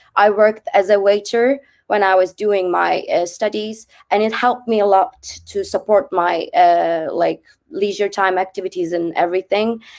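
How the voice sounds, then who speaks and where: The speaker talks at a moderate pace with ordinary pitch variation, in a Turkish accent. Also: woman, medium pitch for a woman. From Turkey. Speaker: former student. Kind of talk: webinar talk. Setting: online webinar. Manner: hesitant, many fillers.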